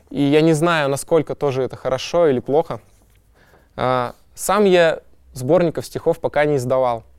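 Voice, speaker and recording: A man's fairly high voice with ordinary pitch variation and long, frequent pauses, in a very clean recording with a silent background. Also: moderate pace. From Kazakhstan, industrial city. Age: young. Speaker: poet. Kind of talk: interview monologue.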